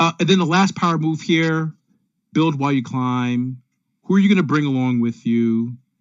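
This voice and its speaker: A man talks in a plain, everyday voice, keeping a moderate pace and ordinary pitch variation. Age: 40s. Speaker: consultant and speaker. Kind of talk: virtual presentation. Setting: video call.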